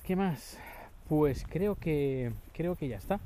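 His tone is dark and mellow. The man sounds somewhat breathy. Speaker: podcaster. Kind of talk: casual monologue. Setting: outdoors walking the dog. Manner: halting.

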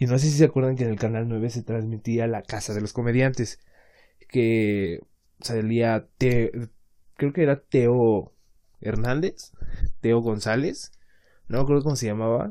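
Quietly and at a fairly slow pace, a man with a Mexican accent speaks in a dark, mellow tone at a medium pitch, with fairly even intonation and long, frequent pauses. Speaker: podcaster. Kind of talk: casual monologue. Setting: home laundry area at night.

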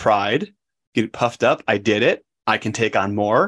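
A man with an American accent and an unremarkable speaking voice speaks at a fairly low pitch with fairly even intonation, in a dry, close sound with no echo on a very clean recording with a silent background. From Wisconsin, US Midwest. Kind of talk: podcast interview.

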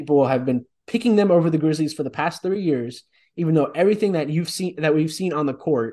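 Against a quiet background, a man with a dark, mellow tone and fairly high pitch speaks at a fairly quick pace with ordinary pitch variation. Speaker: podcast host. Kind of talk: casual sports chat.

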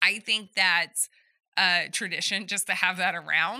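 With a slight Southern US accent, a woman talks with ordinary pitch variation. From Southeast Texas. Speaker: podcast co-host. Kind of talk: casual chat.

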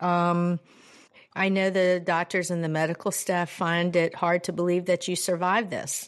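Against a quiet background, a woman speaks at a fairly slow pace in a fairly low voice with ordinary pitch variation. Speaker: podcast host, fitness trainer. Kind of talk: casual interview. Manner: animated, laughs often.

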